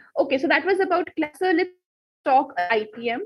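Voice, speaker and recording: A woman speaks with an Indian accent. Her intonation is lively. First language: Hindi. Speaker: exam prep teacher. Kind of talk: live online class.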